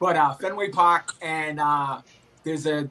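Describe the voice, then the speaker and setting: At a fairly slow pace, a man with a Boston accent speaks in a fairly high voice with a bright, sharp tone. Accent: thick Boston. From Boston, Massachusetts. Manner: hesitant, many fillers.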